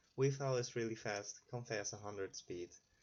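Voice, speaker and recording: Speaking at a fairly quick pace, a man with a non-native accent has a fairly low pitch. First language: not English. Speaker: gaming YouTuber. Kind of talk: gameplay commentary. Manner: halting.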